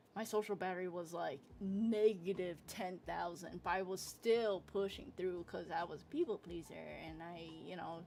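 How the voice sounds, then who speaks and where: With music in the background, a woman talks at a moderate pace in a fairly low pitch with ordinary pitch variation. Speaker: streamer and artist. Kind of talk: casual chat. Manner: animated; loud.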